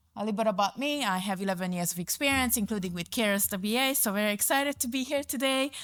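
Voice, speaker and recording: A woman with a Hungarian accent at a fairly high pitch, very fast with hardly any pauses and lively intonation, in a very clean recording with a silent background. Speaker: community services manager. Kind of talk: conference presentation. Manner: hesitant, many fillers.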